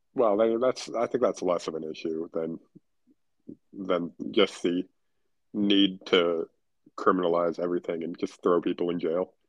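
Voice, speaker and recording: With a very deep, low pitch and ordinary pitch variation, a man talks at a fairly slow pace, leaving long, frequent pauses, in a dry, close sound with no echo. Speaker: podcast co-host. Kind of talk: casual chat.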